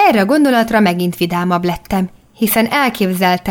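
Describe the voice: Read aloud plainly, the passage carries ordinary pitch variation.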